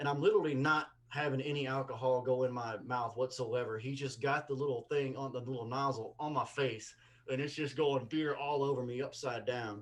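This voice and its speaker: A man with a strong Mississippi accent talks at a fairly quick pace and a medium pitch. Noticeable background noise runs underneath. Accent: strong Southern (Mississippi). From Mississippi, US South. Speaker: comedian. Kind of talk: casual chat. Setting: video call. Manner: animated.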